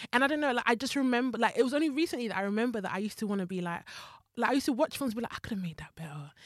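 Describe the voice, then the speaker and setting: A woman speaks with a fairly high pitch. Her delivery is very fast. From Zimbabwe. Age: 30s. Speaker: screenwriter and TV development executive. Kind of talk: casual chat.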